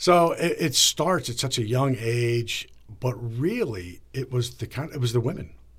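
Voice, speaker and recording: A somewhat breathy voice in an American accent, with lively intonation at a fairly slow pace, on a very clean recording with a silent background. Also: man, medium pitch for a man. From Northern Virginia, near Washington DC. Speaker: TV news anchor. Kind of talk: interview. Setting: studio.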